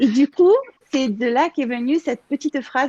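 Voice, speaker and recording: A woman with a Marseille accent speaks with lively intonation in a dry, close sound with no echo. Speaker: contributing author. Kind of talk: casual chat. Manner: halting.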